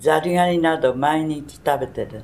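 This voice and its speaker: A woman speaks at a fairly slow pace. Her pitch is very deep and low, with ordinary variation. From Tokyo (Sumida, shitamachi). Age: 90s. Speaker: war survivor. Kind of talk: testimony. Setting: museum.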